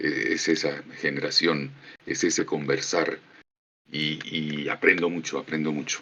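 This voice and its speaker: A man speaks with a Colombian accent. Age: 50s. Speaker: voice actor. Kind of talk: casual conversation. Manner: warm, effusive.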